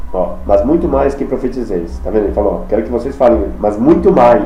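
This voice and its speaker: Audible room echo surrounds a man's speech. Noticeable background noise sits beneath it. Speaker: preacher. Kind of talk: sermon. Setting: video recording. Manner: fast.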